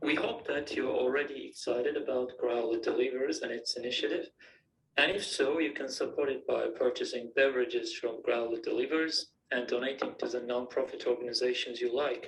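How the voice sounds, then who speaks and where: Speaking fairly quickly, this man has a non-native accent. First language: not English. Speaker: student project presenter. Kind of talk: presentation.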